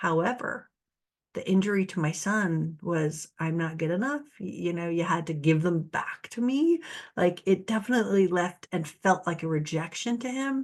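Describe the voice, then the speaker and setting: A woman speaks in an ordinary speaking voice, fairly low in pitch, with lively intonation. Her pace is moderate and the background is quiet. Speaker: narcissistic abuse recovery coach. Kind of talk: solo talk to camera. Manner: casual, conversational with laughs.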